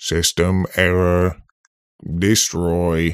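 In a put-on, robotic character voice, a man speaks at a very deep, low pitch with monotone, flat intonation. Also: very clean recording, silent background. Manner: flat, menacing.

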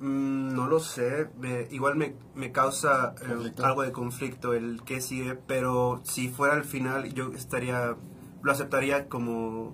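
The speech comes at a very slow pace with monotone, flat intonation, and noticeable background noise runs underneath. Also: man, medium pitch for a man. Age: 20s. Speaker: journalist. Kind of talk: casual chat.

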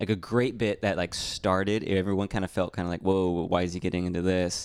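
A man with a very deep, low pitch talks at a very fast pace with fairly even intonation. The recording is very clean, and the background is silent. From Mexican-American background. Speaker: stand-up comedian. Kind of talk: casual chat. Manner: reserved, subtle.

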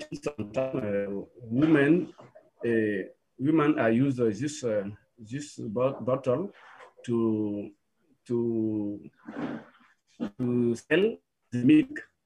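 At a very slow pace, a man speaks at medium pitch with ordinary pitch variation and long, frequent pauses. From Burkina Faso. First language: French or a local language of Burkina Faso. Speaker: filmmaker and music producer. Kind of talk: video call interview. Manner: halting, with many repetitions.

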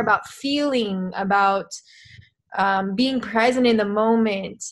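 A woman with an American accent speaks at a moderate pace in an unremarkable speaking voice, her fairly high pitch moving with ordinary variation over a quiet background. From US, New Mexico. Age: 20s. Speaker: filmmaker and activist. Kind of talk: casual interview.

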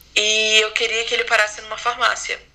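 Noticeable background noise sits behind a woman with a fairly high pitch. Her intonation is monotone and flat, her pace moderate. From Brazil, Manaus. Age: 20s. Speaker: podcast guest sharing mental health experience. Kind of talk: personal testimony.

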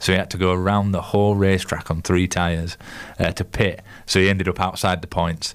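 A man's very deep, low voice with a Yorkshire accent, fairly quick, monotone and flat in intonation, with very even loudness. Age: 20s. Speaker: radio co-host. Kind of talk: casual chat. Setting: studio.

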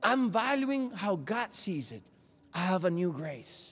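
Lively intonation marks this man's fairly slow delivery. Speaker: preacher. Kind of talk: sermon. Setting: church. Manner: animated; passionate, exhorting.

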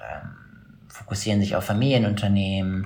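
A man's fairly low voice with audible room echo. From Schleswig-Holstein, northern Germany. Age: 30s. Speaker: investment banker. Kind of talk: interview. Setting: video call.

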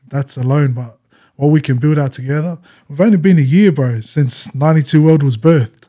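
With an Australian accent, this voice has a dark, mellow tone, ordinary pitch variation and a fairly quick pace. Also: man, fairly high pitch for a man. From Western Sydney, Australia. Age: 20s. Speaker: rapper. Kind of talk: casual chat.

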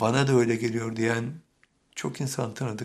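Speaking very slowly, a man keeps a medium pitch and a monotone, flat intonation. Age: 70s. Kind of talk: sermon.

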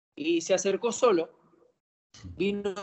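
Ordinary pitch variation marks a man's speech. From Argentina, Campana (Buenos Aires province). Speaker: professional footballer. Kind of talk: interview. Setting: phone or video call. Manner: halting, repeats words.

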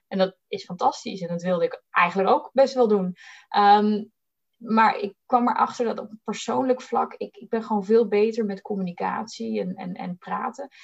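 A somewhat breathy woman's voice, fairly high in pitch, with ordinary pitch variation, big swings in loudness, a moderate pace and dry, close sound with no echo. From Netherlands, Bollenstreek (South Holland). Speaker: recruiter. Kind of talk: interview.

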